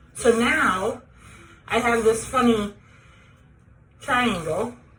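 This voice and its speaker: Speaking very slowly with ordinary pitch variation, a woman's fairly high voice comes through noticeable background noise. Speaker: tracheostomy patient sharing home care tips. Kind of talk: tutorial. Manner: casual, plain.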